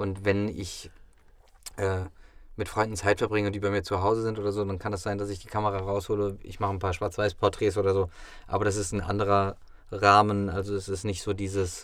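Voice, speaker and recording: Speaking at a moderate pace in a flat monotone, a man with a fairly low pitch comes through on a very clean recording with a silent background. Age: 30s. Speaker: actor. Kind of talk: casual chat. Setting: studio.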